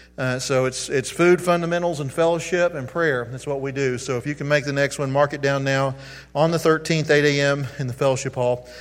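Over noticeable background noise, a man talks at a fairly quick pace with a fairly high pitch and fairly even intonation. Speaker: pastor. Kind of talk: sermon. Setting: church.

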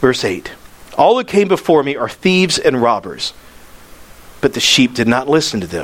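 Over noticeable background noise, a man speaks at a moderate pace in an animated tone, his pitch swinging very widely. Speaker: pastor. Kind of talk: sermon.

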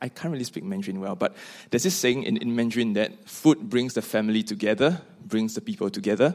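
A man with a Singaporean accent speaks with lively intonation. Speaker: seminary student. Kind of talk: panel conversation.

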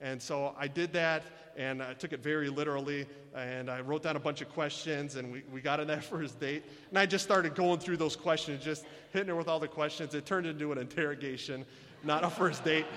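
With a Michigan accent, a man talks at a fairly quick pace in a fairly high pitch, his intonation fairly even. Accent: Michigan American. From US Midwest, Michigan. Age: 30s. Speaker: missionary. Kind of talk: sermon. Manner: halting.

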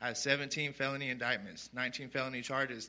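With a West Texas accent, a man speaks at a medium pitch in a bright, sharp tone. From Sweetwater, Texas. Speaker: recovery program resident. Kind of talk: testimony. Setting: church.

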